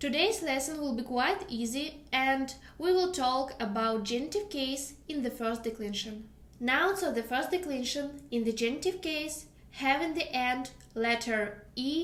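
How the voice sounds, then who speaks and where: Speaking in a Russian accent, a woman uses a high pitch and lively intonation at a fairly slow pace, with audible room echo. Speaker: language teacher. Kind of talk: tutorial.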